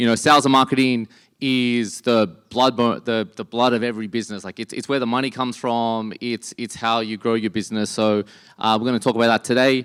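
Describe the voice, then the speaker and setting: A man with an Australian accent, medium in pitch, at a fairly quick pace with fairly even intonation, in a dry, close sound with no echo and a very clean recording over a silent background. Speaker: entrepreneur and conference speaker. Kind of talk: conference talk.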